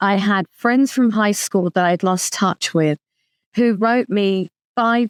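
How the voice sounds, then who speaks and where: A woman with a London accent at a fairly slow pace, very clean recording with a silent background, dry and close with no echo. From London, England. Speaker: author and lawyer. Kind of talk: interview.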